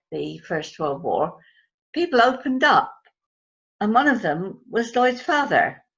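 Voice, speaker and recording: At a moderate pace, a woman talks with vocal fry and very wide swings in pitch. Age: 80s+. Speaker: storyteller. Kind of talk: oral history storytelling. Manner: conversational, with hesitations.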